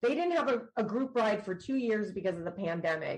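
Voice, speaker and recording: Speaking with an American accent at medium pitch, a woman sounds somewhat breathy and moves at a fairly quick pace. Her tone is animated and her intonation lively. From New Jersey, US. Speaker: author and nurse, motorcycle rider. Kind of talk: podcast interview, casual chat.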